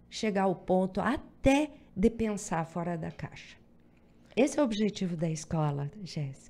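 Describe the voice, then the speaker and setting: Her medium-pitched voice has a dark, mellow tone, and the woman moves at a fairly slow pace with lively intonation. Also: very clean recording, silent background. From southern Brazil. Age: 60s. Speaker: professor. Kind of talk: radio interview.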